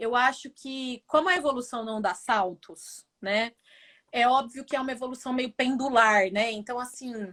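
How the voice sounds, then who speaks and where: In a rural Brazilian accent, a woman talks at a fairly slow pace with a high pitch, a bright, sharp tone, and ordinary pitch variation. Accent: Brazilian countryside (caipira). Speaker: business professor. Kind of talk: interview conversation.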